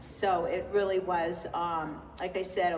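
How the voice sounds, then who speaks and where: A woman with an American accent talks in a fairly low pitch and flat, monotone intonation, with noticeable background noise and audible room echo. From California (Los Angeles). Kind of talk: book festival conversation, Q&A. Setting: stage with audience.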